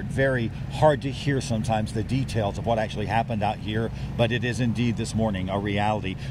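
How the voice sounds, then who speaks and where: With noticeable background noise behind him, a man with an American accent talks at a very fast pace, his medium pitch showing ordinary variation. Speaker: TV news anchor and reporter. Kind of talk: live field news report at a crash scene. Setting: outdoors at night, on location.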